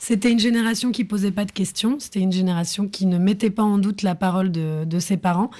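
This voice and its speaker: Fairly quick delivery with hardly any pauses, a somewhat breathy, dark, mellow tone, very even loudness, and fairly even intonation. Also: woman, medium pitch for a woman. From France. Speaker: film director and actress. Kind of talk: radio interview. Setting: studio.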